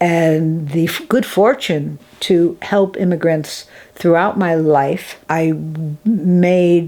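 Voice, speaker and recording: Speaking very slowly, a woman with an American accent uses a fairly low pitch and ordinary pitch variation. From Massachusetts, US (Springfield). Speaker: artist and filmmaker. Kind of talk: interview.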